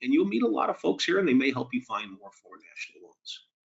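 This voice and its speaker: A man with a Boston accent speaks at a very fast pace with ordinary pitch variation. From Boston, US. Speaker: mortgage lending presenter. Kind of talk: webinar presentation. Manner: conversational, some filler and repetition.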